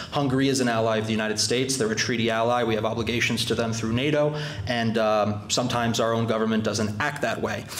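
Over light background noise and audible room echo, a man races at a very fast pace with hardly any pauses, his intonation monotone and flat and his loudness very even. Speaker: club host introducing a guest. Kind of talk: formal speech. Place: hall.

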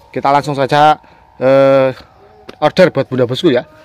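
A man speaks at a fairly slow pace, his pitch fairly high. The sound is dry, with no echo. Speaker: plant seller. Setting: outdoors by the house, showing plants to camera. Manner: animated, coaxing, sing-song sales patter. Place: garden. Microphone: phone near.

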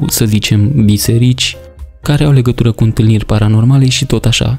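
With music in the background, a man speaks in a calm tone at medium pitch, keeping a fairly quick pace and fairly even intonation. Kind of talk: casual talk to camera. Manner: calm, expressive.

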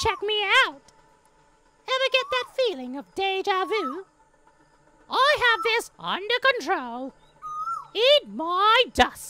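A female-sounding put-on character voice, extremely high in pitch, at a fairly slow pace with long, frequent pauses. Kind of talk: comic overacting, deliberately bad. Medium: voice reel. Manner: hyper, cheeky, silly.

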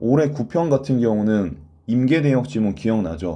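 A dark, mellow tone at a moderate pace, with audible room echo. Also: man. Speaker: Korean language exam tutor. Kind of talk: online lecture. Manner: stammering.

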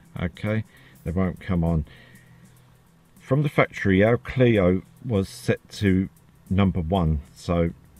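A man's very deep, low voice at a very slow pace with ordinary pitch variation, dry and close with no echo, with music in the background. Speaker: car hobbyist. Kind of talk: screen-recorded software tutorial. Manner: hesitant, lots of fillers.

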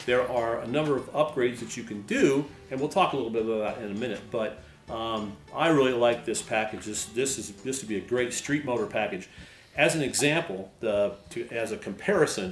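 A man's voice with ordinary pitch variation, audible room echo and faint music in the background. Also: fairly quick pace. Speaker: host. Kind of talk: tutorial. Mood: enthusiastic, relaxed. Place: garage.

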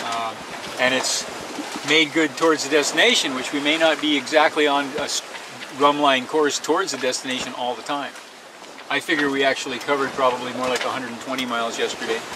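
A man delivers his words fairly quickly over loud background noise. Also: dry sound with no echo. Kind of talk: casual vlog chat. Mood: relaxed, pleased. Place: boat. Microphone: phone near.

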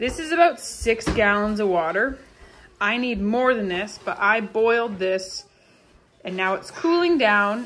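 Light background noise sits under a woman whose intonation is lively. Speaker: homesteading vlogger. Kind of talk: casual vlog chat. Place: kitchen. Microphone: phone near.

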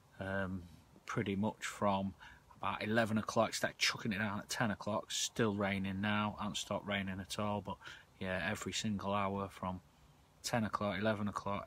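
Dry with no echo, a man's bright, sharp voice holds a fairly low pitch with monotone, flat intonation at a moderate pace. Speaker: angler vlogger. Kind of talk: casual vlog chat. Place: tent. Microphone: phone near.

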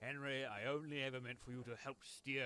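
A natural voice reading aloud

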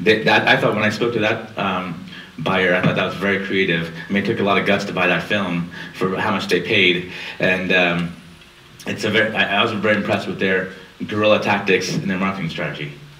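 Over light background noise and audible room echo, a man with a very deep, low pitch talks at a fairly quick pace with fairly even intonation. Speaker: panelist. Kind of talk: lecture. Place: hall.

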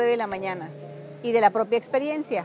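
A woman's fairly high, slightly mellow voice at a fairly quick pace, with faint music behind her.

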